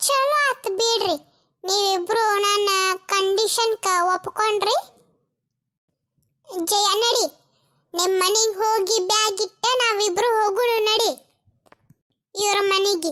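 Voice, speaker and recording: A woman's cartoonish character voice at an extremely high pitch, very slow pace and very even loudness. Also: ordinary pitch variation. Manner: blunt, demanding.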